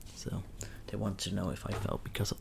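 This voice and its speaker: A man speaks in a whisper. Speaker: ASMR creator. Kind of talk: ASMR story time. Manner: soft-spoken.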